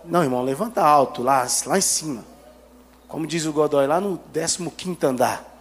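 At a fairly slow pace and with ordinary pitch variation, the voice comes through noticeable background noise. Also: man, fairly high pitch for a man. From Brazil, Goiânia area (Garavelo). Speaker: guest preacher. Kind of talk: sermon. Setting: church. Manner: animated.

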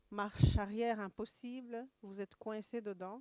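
In a very clean recording with a silent background, a woman speaks fairly slowly at a fairly high pitch, her intonation monotone and flat. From Rwanda, Kigali area. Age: 40s. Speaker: church member giving testimony. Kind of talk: testimony. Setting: church service. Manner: halting.

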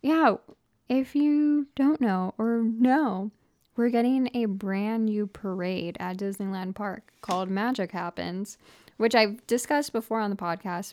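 This woman talks at a fairly slow pace in a plain, everyday voice. The recording is very clean, with a silent background. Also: fairly high pitch for a woman, ordinary pitch variation. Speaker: podcast host. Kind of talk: casual chat.

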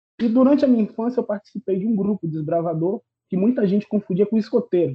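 A man talks with ordinary pitch variation. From Bahia, Brazil (Salvador, then Irará). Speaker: podcast guest. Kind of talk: casual chat.

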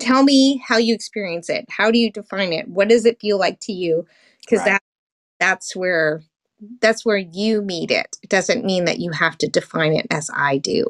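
Speaking with an American accent, a woman has a plain, everyday voice at medium pitch with ordinary pitch variation. She keeps a moderate pace in a dry, close sound with no echo. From North America, US and Canada. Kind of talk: casual chat. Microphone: cutting out.

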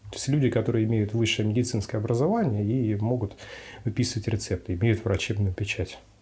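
This man's speech is very fast. His intonation is fairly even and his voice somewhat breathy. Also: medium pitch for a man. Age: 20s. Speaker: psychiatrist. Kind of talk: interview answers. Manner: formal.

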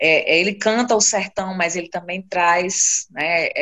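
This is a woman with a normal speaking voice and a medium pitch. She shows ordinary pitch variation. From Brazil, Seridó region of Rio Grande do Norte (Currais Novos). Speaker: poet and researcher. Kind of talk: interview.

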